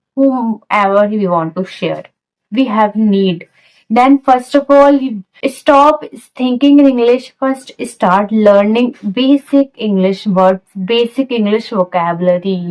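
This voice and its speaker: A woman with an Indian accent speaks at a very slow pace. Her voice is fairly high, with ordinary pitch variation. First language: Hindi. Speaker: English learning vlogger. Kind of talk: casual talk to camera. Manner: non-native halting phrasing.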